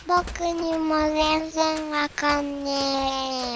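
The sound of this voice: A very slow put-on character voice, high-pitched and monotone with flat intonation, over clear background noise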